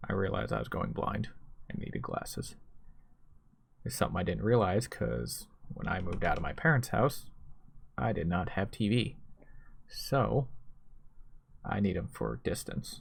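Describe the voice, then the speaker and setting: A man with a very deep, low pitch and vocal fry speaks with very wide pitch swings and long, frequent pauses. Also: moderate pace. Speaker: YouTuber, night-shift worker. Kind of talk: personal vlog monologue.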